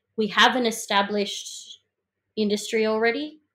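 With an Australian accent, a woman speaks in a fairly high pitch. Her intonation stays fairly even. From Melbourne, Australia (south-east suburbs). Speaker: singer-songwriter. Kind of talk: interview.

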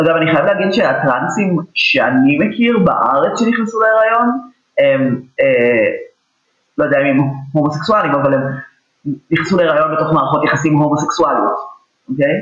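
A man's fairly high voice at a fairly quick clip, very even in loudness, with long, frequent pauses and audible room echo. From Israel, Petah Tikva. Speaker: journalist and lecturer on gender. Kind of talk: interview conversation. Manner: halting, many fillers.

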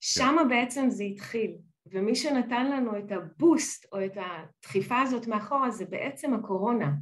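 In a normal speaking voice, a woman talks at a fairly slow pace, her fairly high pitch carried by lively intonation. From Israel. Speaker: business partnerships director. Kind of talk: interview.

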